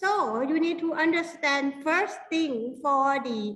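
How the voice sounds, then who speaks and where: A woman speaks in a strong Thai accent at a very slow pace, her pitch high with ordinary variation. Her tone is bright and sharp, with audible room echo. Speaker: university lecturer. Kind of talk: workshop lecture. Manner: halting.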